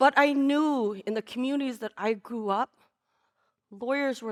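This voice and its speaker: Intonation here is lively, with a Lao accent. The pace is moderate. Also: woman. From Laos, raised in California from age four. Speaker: storyteller. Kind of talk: live storytelling. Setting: stage with audience.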